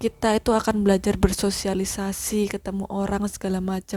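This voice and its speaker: A woman's medium-pitched voice at a fairly quick pace. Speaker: podcaster. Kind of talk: casual monologue. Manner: halting, self-correcting.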